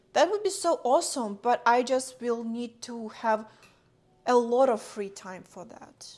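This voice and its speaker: A fairly high-pitched woman mumbling at a very slow pace, with a non-native accent. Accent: noticeable foreign. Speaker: streamer and content creator. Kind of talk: casual livestream chat while cooking.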